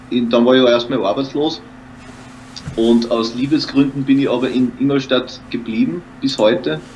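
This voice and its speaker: Over noticeable background noise, a man with an Austrian accent speaks at a fairly slow pace and medium pitch, with ordinary pitch variation and long, frequent pauses. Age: 30s. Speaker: actor and comedian. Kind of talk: casual interview. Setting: home studio.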